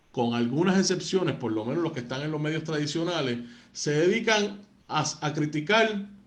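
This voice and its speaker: A man with a fairly high pitch talks in a room with audible echo. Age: 30s. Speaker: radio sports host. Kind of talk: interview. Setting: studio.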